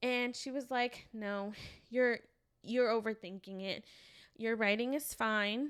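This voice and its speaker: Speaking at a very slow pace with long, frequent pauses, a woman uses a fairly high pitch for a woman. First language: non-English language. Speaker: podcast co-host. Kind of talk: casual chat. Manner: animated storytelling.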